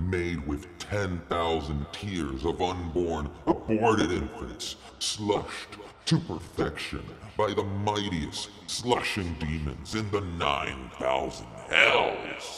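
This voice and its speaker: Amid clear background noise and clear echo, a put-on character voice moves at a very slow pace. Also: man, very deep, low pitch for a man. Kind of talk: comedy sketch dialogue. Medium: stage.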